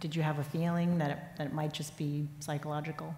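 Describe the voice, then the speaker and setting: With audible room echo, a somewhat breathy woman speaks very fast in a very deep, low pitch and a flat monotone. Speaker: sports columnist. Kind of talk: onstage interview. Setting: stage with audience. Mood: warm, earnest. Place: stage.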